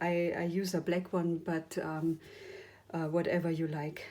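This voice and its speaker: The woman speaks at a very slow pace with a fairly low pitch. Her tone is dark and mellow, her intonation flat and monotone. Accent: non-native. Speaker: ink painting teacher. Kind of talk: tutorial. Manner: hesitant, many fillers.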